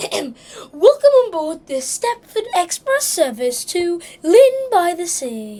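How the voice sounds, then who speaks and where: An extremely high put-on character voice moves at a fairly slow pace with very wide pitch swings. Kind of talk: formal, announcement-style.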